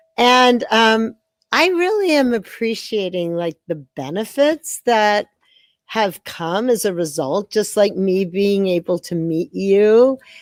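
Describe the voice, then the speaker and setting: Very slow and with lively intonation, a woman speaks at a medium pitch in a dry, close sound with no echo. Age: 60s. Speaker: dance teacher. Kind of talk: interview. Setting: video call.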